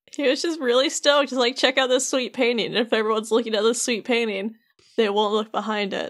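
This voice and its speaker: Very fast and loud, a woman talks at a high pitch in a very clean recording with a silent background. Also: ordinary pitch variation. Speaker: podcast host explaining game lore. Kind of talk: casual chat.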